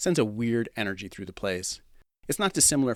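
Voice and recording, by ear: Someone reads aloud in a natural voice. The intonation is lively and the background quiet.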